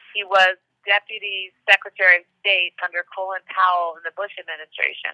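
Her intonation is monotone and flat. The woman talks at a fairly quick pace, with big swings in loudness. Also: medium pitch for a woman. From US Northeast, Westchester New York. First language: Hungarian. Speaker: politician. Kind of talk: interview.

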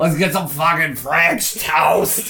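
A man uses a put-on character voice. It sits at a fairly high pitch.

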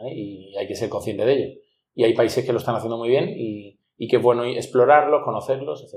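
The speaker uses an ordinary speaking voice at a fairly quick pace with ordinary pitch variation. Loudness swings widely throughout. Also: man, medium pitch for a man. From Andalusia, Spain (Ronda, Málaga). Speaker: headhunter, entrepreneur. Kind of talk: interview.

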